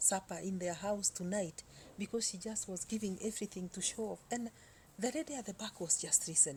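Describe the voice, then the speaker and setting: A woman speaks at a fairly quick pace in a medium pitch with ordinary pitch variation. Her tone is dark and mellow, and somewhat breathy. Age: 60s. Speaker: vlogger. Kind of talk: casual storytelling monologue. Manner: halting, many fillers.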